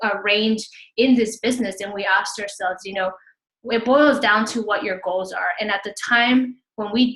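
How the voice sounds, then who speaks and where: A woman in a Spanish accent, fairly high in pitch, with fairly even intonation at a moderate pace. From Houston, Texas. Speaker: fitness business coach. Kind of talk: webinar presentation.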